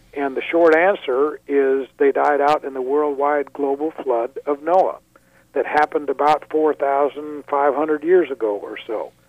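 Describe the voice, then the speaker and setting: A man with an unremarkable speaking voice talks at a fairly slow pace, his pitch fairly high and his intonation fairly even. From Thailand and US. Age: 50s. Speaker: creationist speaker. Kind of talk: radio interview.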